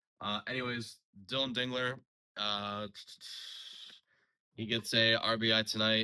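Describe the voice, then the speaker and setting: On a very clean recording with a silent background, a man speaks in a bright, sharp tone with fairly even intonation. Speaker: sports channel host. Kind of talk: casual sports commentary. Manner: halting with many fillers.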